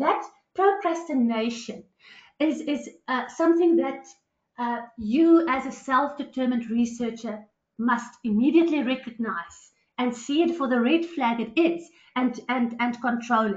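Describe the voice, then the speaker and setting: A woman talks in a high pitch with lively intonation. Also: fairly slow pace. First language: not English. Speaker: academic presenter. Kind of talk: webinar lecture. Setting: online webinar. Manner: hesitant, many fillers and repetitions.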